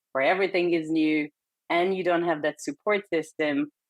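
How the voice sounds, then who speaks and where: This woman speaks with a Hungarian accent. Her pitch is fairly low and her pace moderate. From Hungary. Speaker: perinatal psychotherapist. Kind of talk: interview.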